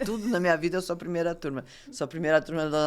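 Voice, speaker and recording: A woman talks at a very fast pace with ordinary pitch variation on a very clean recording with a silent background. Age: 60s. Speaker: dentist. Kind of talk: interview. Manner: halting.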